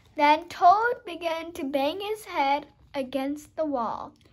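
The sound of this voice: Slowly and with lively intonation, a woman speaks at a high pitch.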